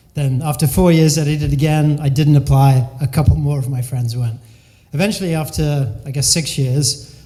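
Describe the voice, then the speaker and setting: Against noticeable background noise, a man speaks at a fairly high pitch and a moderate pace with fairly even intonation. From England, raised mostly in the US (Delaware). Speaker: business consultant and keynote speaker. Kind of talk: keynote talk. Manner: casual, conversational.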